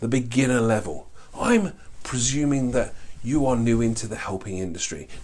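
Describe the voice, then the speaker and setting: A man with a mid-range pitch talks, and the room's echo can be heard. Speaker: life coaching trainer, course instructor. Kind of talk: online course lecture. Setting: filmed with board, to camera. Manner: fast; animated.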